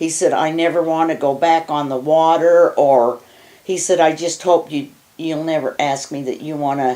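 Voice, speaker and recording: A woman speaks at a moderate pace in a very deep, low voice with a dark, mellow tone. Her intonation stays fairly even. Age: 80s+. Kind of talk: interview answer.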